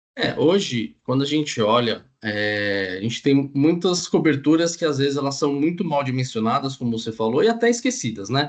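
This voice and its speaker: The voice moves through very wide pitch swings with hardly any pauses. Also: man, fairly high pitch for a man. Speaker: insurance underwriter. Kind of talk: panel discussion. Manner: fast.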